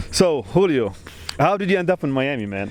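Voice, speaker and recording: A man with a non-native accent and very wide pitch swings, against noticeable background noise. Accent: foreign. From Lebanon. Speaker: podcast host, architect. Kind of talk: casual chat. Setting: outdoors on a beach.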